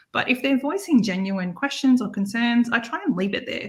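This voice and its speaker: A woman speaks with an Australian accent and ordinary pitch variation. Her voice is somewhat breathy. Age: 40s. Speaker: online entrepreneur, busy mom. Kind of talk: interview.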